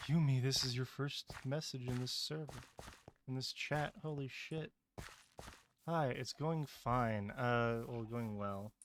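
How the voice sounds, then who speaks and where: Quietly, a man speaks in a medium pitch, with long, frequent pauses. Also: ordinary pitch variation, fairly slow pace. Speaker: streamer. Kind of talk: live gaming stream.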